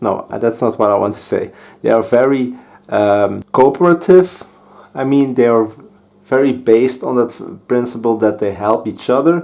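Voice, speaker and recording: With a Dutch accent, a man speaks at a moderate pace and medium pitch, his dark, mellow tone showing ordinary pitch variation. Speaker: board game youtuber. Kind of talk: game playthrough commentary. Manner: halting, with fillers and restarts.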